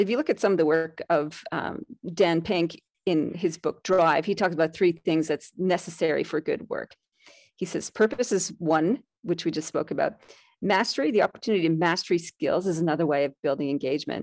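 An ordinary speaking voice moves at a fairly quick pace with ordinary pitch variation. The recording is very clean with a silent background and a dry, close sound with no echo. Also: woman, fairly low pitch for a woman. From Canada. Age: 50s. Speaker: leadership mentor and author. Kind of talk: interview.

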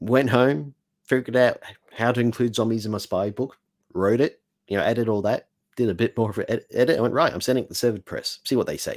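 With an Australian accent, a man talks very fast at a medium pitch, using ordinary pitch variation. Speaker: author. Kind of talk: casual interview chat. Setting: video call.

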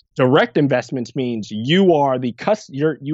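Using very wide pitch swings, a man talks in a New Jersey accent. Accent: New Jersey American. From New Jersey (Irvington, near Newark). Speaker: grant writer and impact investor. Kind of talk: interview.

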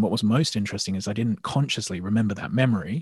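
Here a man speaks at a very fast pace. His pitch is fairly low. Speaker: hypnotherapist and mindset coach. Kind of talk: interview. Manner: calm.

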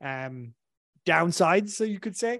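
A man speaks with an Irish accent and lively intonation. The background is quiet. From southern Ireland. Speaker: marketing consultant, former engineer. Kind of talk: casual interview chat. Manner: casual, filler-heavy.

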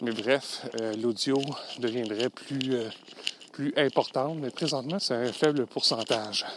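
A man's medium-pitched voice at a very slow pace, against noticeable background noise. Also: ordinary pitch variation. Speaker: podcast host, LinkedIn consultant. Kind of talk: solo podcast monologue. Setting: outdoors, walking in snow. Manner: hesitant, many fillers.

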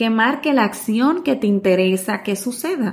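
A woman's somewhat breathy, fairly high voice moves at a fairly slow pace. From Dominican Republic. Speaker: communications trainer and podcast host. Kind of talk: tutorial.

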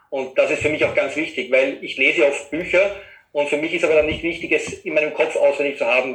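A man's fairly quick speech with audible room echo. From Austria, Vienna area. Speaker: web designer. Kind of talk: interview conversation.

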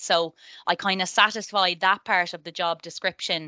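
A woman with a Dublin accent talks at a moderate pace in a bright, sharp tone at medium pitch. The background is quiet. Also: dry, close sound with no echo. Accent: Irish (Dublin area). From Ireland, near Dublin. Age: 30s. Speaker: tech project manager. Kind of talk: interview.

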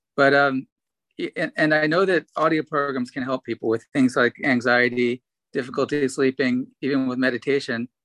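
At a moderate pace, a plain, everyday voice speaks with fairly even intonation. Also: man, medium pitch for a man. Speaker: podcast host. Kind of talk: casual interview.

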